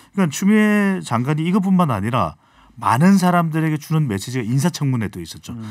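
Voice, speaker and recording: Against a quiet background, a man speaks at a very fast pace with very wide pitch swings. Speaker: polling analyst. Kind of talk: radio current affairs chat. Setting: studio. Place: studio. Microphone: studio mic.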